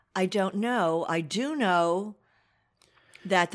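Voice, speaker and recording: Speaking in a New Jersey accent, a woman has a medium pitch and lively intonation. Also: very clean recording, silent background. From Asbury Park, New Jersey. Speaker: local newspaper editor. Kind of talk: interview.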